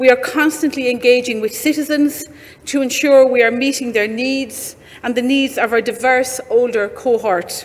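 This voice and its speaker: Noticeable background noise sits behind a woman's voice. She speaks at a high pitch and a moderate pace with fairly even intonation. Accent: Irish. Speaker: government minister. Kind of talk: prepared conference speech. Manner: formal.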